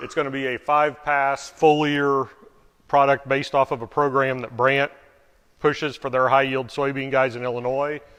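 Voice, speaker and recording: In a monotone, flat intonation, a man speaks at a fairly high pitch. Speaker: farmer. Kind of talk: presentation. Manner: fast.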